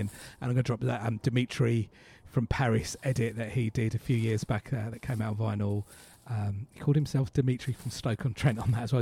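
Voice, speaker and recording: Very fast, somewhat breathy speech from a man at medium pitch, dark and mellow in tone, in a dry, close sound with no echo. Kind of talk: radio DJ patter: back-announcing tracks and teasing upcoming music between songs.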